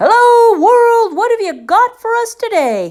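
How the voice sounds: A loud, squeaky put-on character voice sounds at an extremely high pitch.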